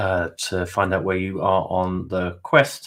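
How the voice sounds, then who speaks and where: A man's very deep, low voice with a British accent. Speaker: webinar host and interviewer. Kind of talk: webinar wrap-up. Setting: online webinar.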